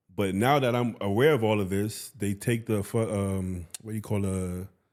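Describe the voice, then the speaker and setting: In an American accent, a man with an unremarkable speaking voice talks at a fairly low pitch with fairly even intonation on a very clean recording with a silent background. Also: moderate pace. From US Northeast, Bronx, New York City. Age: 30s. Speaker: bodybuilder and coach. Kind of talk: casual chat.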